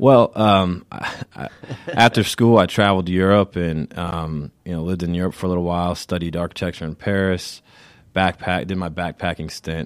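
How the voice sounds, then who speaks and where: A man's very deep, low voice moves at a moderate pace with fairly even intonation. The sound is dry and close with no echo, on a very clean recording with a silent background. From US South, Richmond Hill near Savannah, Georgia. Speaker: sales executive at an education company. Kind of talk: interview. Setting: studio.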